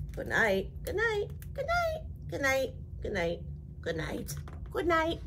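Over loud background noise, a woman speaks at a fairly slow pace in a put-on character voice. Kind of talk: bedtime story. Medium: read story. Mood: sleepy chorus.

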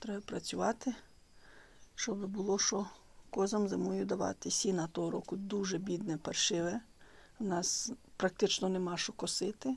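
The speech runs at a moderate pace, broken by long, frequent pauses. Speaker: rural goat keeper vlogger. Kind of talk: casual vlog chat. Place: farm machine. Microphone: phone near.

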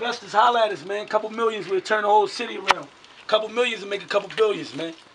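Speech comes at a very fast pace over noticeable background noise. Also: man. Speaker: urban explorer host. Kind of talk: casual vlog chat. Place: empty room. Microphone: camera far.

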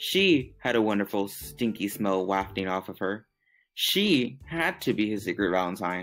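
The intonation is lively in this plain reading aloud. Behind it, the background stays quiet.

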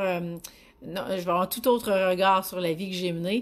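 This is a woman talking. Her pitch is medium. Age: 40s. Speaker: business coach. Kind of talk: live stream talk. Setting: online live video broadcast. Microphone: phone near.

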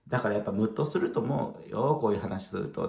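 Somewhat breathy, a man's voice swings very widely in pitch, with audible room echo over a quiet background. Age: 30s. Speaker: spiritual video blogger. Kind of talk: casual solo talk to camera. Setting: at home, late at night. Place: home room. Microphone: phone near.

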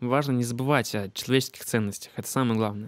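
A man's medium-pitched voice with ordinary pitch variation, dry and echo-free over a quiet background. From Siberia, Russia (Achinsk); Siberia, Russia. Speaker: beatmaker and music teacher; music teacher. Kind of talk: casual talk to camera. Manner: many filler hesitations. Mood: calm, reflective. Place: home room. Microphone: handheld.

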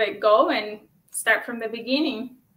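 A woman's voice with a bright, sharp tone. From Ukraine. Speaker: author; guest. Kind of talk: interview. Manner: halting, many fillers. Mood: warm, smiling. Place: home room.

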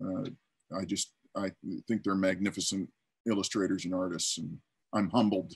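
With a very deep, low pitch, a man talks at a moderate pace with fairly even intonation and long, frequent pauses against a quiet background. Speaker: storyboard artist; panelist. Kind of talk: panel discussion answer. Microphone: video call.

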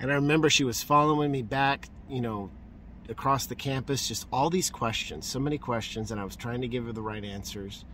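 A man speaks at a fairly quick pace in a bright, sharp tone with ordinary pitch variation. The sound is dry with no echo, over light background noise. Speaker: street preacher. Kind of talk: street preaching, fervent testimony. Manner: animated, exuberant, joyful; excitable, repeating for emphasis. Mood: joyful, emotional. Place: car. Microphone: phone near.

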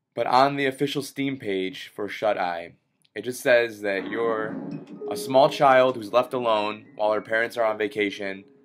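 Music plays in the background as a man talks with ordinary pitch variation. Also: moderate pace. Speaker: gamer. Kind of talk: gameplay commentary. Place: home room.

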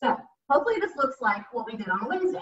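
A woman's voice comes through with a bright, sharp tone. The background is quiet, though room echo is audible. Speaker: fitness instructor. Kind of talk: exercise class instruction. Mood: encouraging, calm. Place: home room. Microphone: camera far.

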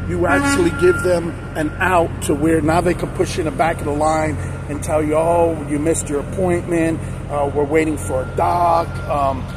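Speech at a moderate pace with ordinary pitch variation plays over music in the background, in a dry sound with no echo. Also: man. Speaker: truck driver vlogger. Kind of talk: casual vlog chat. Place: street.

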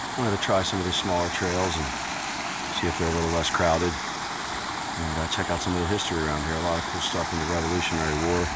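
A man at a very fast pace, dry with no echo, against loud background noise. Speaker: hiker vlogger. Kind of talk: casual vlog chat. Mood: annoyed about trash and crowds. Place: forest. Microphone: phone near.

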